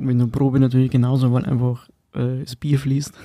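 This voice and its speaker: Dark and mellow in tone, a man speaks at a medium pitch and a moderate pace. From Bavaria, Upper Palatinate (Schwandorf). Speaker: punk rock drummer. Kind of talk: casual interview.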